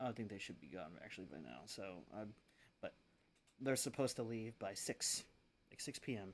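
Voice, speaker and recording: The speaker is quiet, with vocal fry and lively intonation. Long pauses come often. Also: man, fairly low pitch for a man, moderate pace. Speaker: gaming streamer. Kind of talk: live gameplay stream chat. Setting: streaming from home. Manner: quiet, lowered voice.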